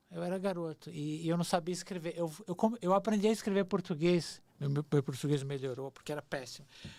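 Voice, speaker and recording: The speech moves at a fairly quick pace with hardly any pauses. The recording is very clean, with a silent background. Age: 60s. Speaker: screenwriter. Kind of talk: casual chat.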